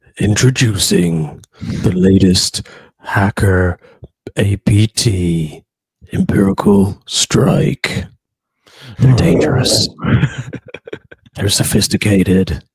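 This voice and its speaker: A man puts on a character voice, fairly low in pitch and dramatic in tone. He goes at a very slow pace with long, frequent pauses. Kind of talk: theatrical trailer narration. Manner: dramatic, ominous.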